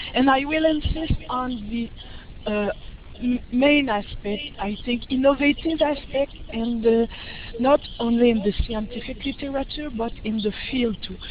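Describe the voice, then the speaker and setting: Noticeable background noise runs under the talking. The delivery is fairly slow, with ordinary pitch variation. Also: woman. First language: French. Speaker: professor, researcher. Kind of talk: lecture. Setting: online webinar. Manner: halting.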